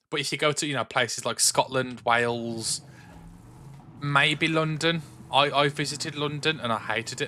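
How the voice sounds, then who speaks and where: A man at a moderate pace, fairly high-pitched, with a bright, sharp tone, in a very clean recording with a silent background. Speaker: gaming streamer. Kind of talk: casual chat. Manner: casual, stumbling.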